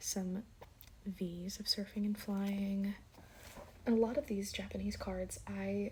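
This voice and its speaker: This soft-spoken voice moves at a very slow pace. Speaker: ASMR creator, card collector. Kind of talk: ASMR show-and-tell, soft-spoken talk to camera.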